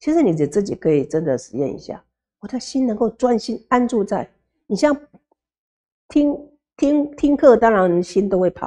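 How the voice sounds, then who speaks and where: Marked by long, frequent pauses, a woman's dark, mellow voice moves through very wide pitch swings. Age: 60s. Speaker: Buddhist nun lecturer. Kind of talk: sutra lecture. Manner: slow, many filler particles. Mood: warm, humorous.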